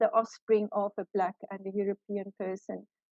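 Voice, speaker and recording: A woman speaks with an Afrikaans South African accent. Her pace is moderate. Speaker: law professor. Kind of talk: lecture. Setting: video call. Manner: hesitant with fillers.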